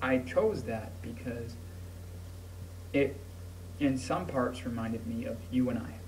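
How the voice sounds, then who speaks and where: With audible room echo, a man at a medium pitch speaks at a fairly slow pace with lively intonation and long, frequent pauses. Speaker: vlogger. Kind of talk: personal video message. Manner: halting.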